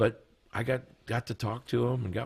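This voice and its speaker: A man with a somewhat breathy voice. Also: very clean recording, silent background. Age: 60s. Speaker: guitarist, studio guest. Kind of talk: casual chat. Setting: studio.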